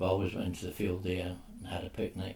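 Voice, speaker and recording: A man with a Glaswegian accent, very deep and low, somewhat breathy, at a moderate pace. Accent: Glaswegian Scottish. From Scotland, Glasgow. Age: 80s+. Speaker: oral history interviewee. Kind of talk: oral history interview.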